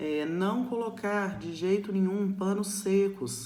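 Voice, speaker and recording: A woman speaks with audible room echo. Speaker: nursing teacher. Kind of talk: recorded lecture. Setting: recorded alone to camera.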